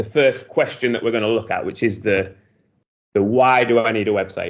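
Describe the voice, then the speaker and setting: The man talks at a very fast pace with a medium pitch. His pitch variation is ordinary. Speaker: web design business owner. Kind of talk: presentation. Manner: hesitant, many fillers.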